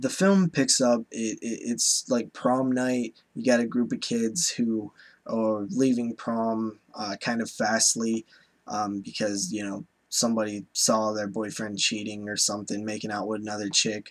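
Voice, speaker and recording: At a fairly slow pace, a man speaks in a medium pitch. His intonation is fairly even. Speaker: horror movie reviewer. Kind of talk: casual video review. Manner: many fillers and hesitations.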